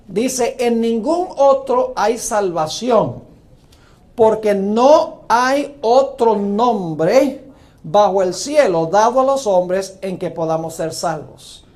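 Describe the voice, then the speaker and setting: A man with a high pitch speaks at a very slow pace, his intonation lively. Audible echo fills the room. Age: 60s. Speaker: pastor. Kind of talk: sermon.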